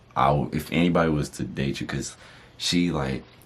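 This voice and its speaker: With vocal fry and a very deep, low pitch, a man speaks at a moderate pace using fairly even intonation. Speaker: YouTuber, married couple channel. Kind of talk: casual chat.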